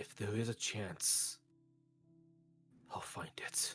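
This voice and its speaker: Over clear music in the background, a man whispers very slowly in a put-on character voice. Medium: actual play. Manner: earnest, troubled.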